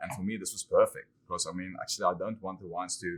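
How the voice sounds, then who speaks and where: This is a man speaking in a South African accent. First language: Afrikaans. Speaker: winemaker. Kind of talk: casual interview chat. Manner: hesitant, many fillers.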